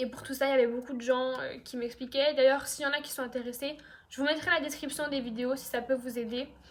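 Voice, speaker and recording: This woman talks at a high pitch with fairly even intonation. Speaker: YouTuber. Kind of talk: storytime monologue. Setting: at home on couch. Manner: fast; casual, many fillers.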